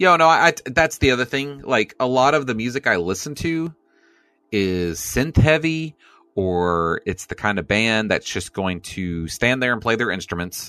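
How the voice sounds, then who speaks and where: Over music in the background, a man talks in an animated tone at a moderate pace, his medium pitch making very wide swings. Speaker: co-host. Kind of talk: casual banter podcast. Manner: joking, animated.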